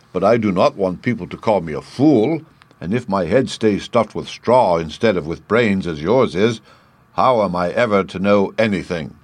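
Putting on a character voice, a man talks at a moderate pace with a husky, fairly low pitch. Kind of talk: dramatized classic children's story. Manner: friendly, gentle, confiding.

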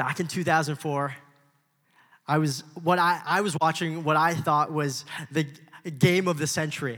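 A man with an American accent speaks at a moderate pace and fairly high pitch, his tone bright and sharp, his intonation monotone and flat. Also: very clean recording, silent background. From Los Angeles, US. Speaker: young adult pastor. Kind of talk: sermon.

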